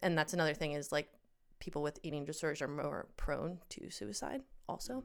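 A woman's very deep, low voice with vocal fry, in an American accent. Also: lively intonation, fairly quick pace. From Pennsylvania, US. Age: 30s. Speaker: guest sharing eating disorder story. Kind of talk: personal testimony in casual chat.

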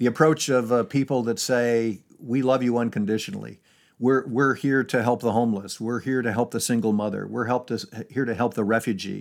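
A man's ordinary speaking voice with an American accent, medium pitch and fairly even intonation, at a fairly quick pace in a very clean recording with a silent background. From upstate New York, Syracuse. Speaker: retired charity executive and author. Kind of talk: interview conversation.

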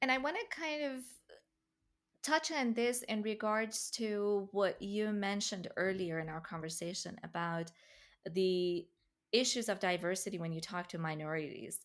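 With an Iranian accent, a woman speaks at medium pitch and a moderate pace with lively intonation in a very clean recording with a silent background. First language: Farsi. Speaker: podcast host. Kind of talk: interview conversation.

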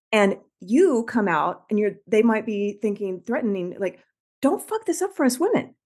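In an ordinary speaking voice, a woman with a fairly high pitch and lively intonation speaks at a moderate pace over a quiet background. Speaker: podcast host and executive coach. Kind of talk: casual interview.

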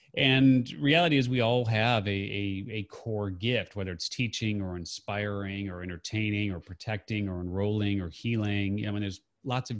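A man speaks in a plain, everyday voice, fairly low in pitch with ordinary pitch variation, moving at a fairly quick pace with hardly any pauses against a quiet background. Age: 50s. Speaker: entrepreneur and author. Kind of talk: interview. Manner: casual, uses many fillers.

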